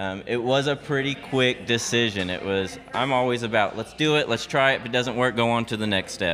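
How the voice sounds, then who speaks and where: A man talks in an ordinary speaking voice with ordinary pitch variation. His pace is fairly quick, with hardly any pauses. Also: medium pitch for a man. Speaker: coffee shop owner. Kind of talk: casual interview. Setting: coffee shop.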